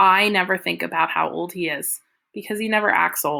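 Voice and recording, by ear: Against a quiet background, someone reads aloud in a natural voice, the pitch varying in an ordinary way.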